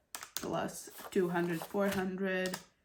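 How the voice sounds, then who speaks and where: A woman with a fairly low pitch speaks very slowly in a flat monotone. The room echo is audible, and there is noticeable background noise. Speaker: budgeting YouTuber. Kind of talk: casual tutorial vlog. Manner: talking a little funny.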